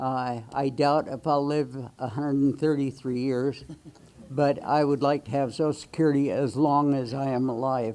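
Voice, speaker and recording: A man's dark, mellow voice, fairly high in pitch, at a moderate pace. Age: 80s+. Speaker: retired bus driver and Marine veteran speaking at public comment. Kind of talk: public comment at town hall. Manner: halting, many fillers.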